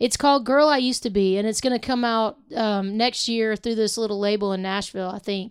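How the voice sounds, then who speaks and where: The speaker has a plain, everyday voice and talks at a fairly quick pace. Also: woman, fairly high pitch for a woman, fairly even intonation, very clean recording, silent background. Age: 40s. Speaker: singer-songwriter. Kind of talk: casual chat.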